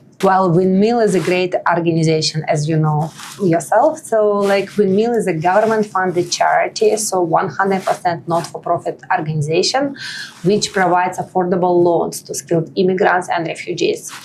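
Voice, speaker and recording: Over noticeable background noise, a woman with a Russian accent speaks at a medium pitch. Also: ordinary pitch variation, moderate pace. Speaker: nonprofit partnership lead, immigrant advocate. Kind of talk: podcast interview. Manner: hesitant, filler-heavy.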